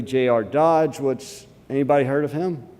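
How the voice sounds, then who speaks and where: A man with an Alabama accent, fairly slow and dark, mellow in tone, with ordinary pitch variation. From US South, Alabama. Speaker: conference speaker, portfolio manager. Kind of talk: conference talk. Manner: hesitant, many fillers.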